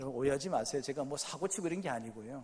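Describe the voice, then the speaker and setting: A man's voice, fairly high in pitch. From South Gyeongsang, Korea. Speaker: pastor. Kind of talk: sermon. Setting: church. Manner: animated.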